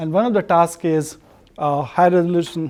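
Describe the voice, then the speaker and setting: A man at a fairly quick pace, with fairly even intonation. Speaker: watershed hydrologist, research scientist. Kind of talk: lecture. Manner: fast; halting, many fillers.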